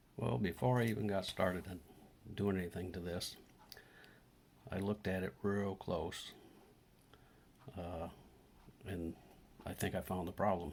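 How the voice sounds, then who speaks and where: Soft-spoken and very deep, a man talks at a moderate pace with ordinary pitch variation and long, frequent pauses. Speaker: DIY electronics repair youtuber. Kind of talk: tutorial.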